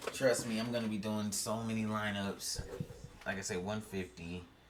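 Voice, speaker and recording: A man talks at a fairly slow pace. The room echo is audible, and there is noticeable background noise. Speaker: gaming streamer and fantasy football content creator. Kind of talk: casual solo commentary while building fantasy lineups. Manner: mumbling, thinking out loud.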